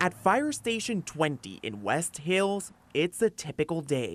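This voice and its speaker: A man's high voice with very wide pitch swings, a fairly slow pace, a dry, close sound with no echo, and music in the background. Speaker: TV news reporter and fill-in anchor. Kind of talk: local TV news anchor and reporter delivery.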